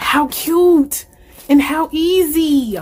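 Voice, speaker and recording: Through noticeable background noise, a woman talks in an animated tone at a high pitch. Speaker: planner channel vlogger. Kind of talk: unboxing video.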